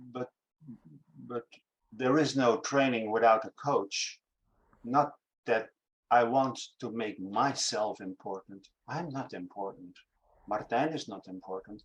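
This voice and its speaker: A man with a Dutch accent, medium pitch, ordinary pitch variation, big swings in loudness, a moderate pace and long, frequent pauses. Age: 60s. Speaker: acting teacher. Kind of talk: interview conversation. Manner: halting.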